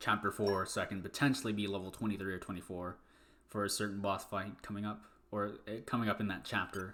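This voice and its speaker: Over music in the background, a man with a fairly low pitch talks at a very fast pace with fairly even intonation. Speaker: speedrunner streaming a game run. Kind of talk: live gameplay commentary. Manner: halting, stutters and restarts; casual, conversational.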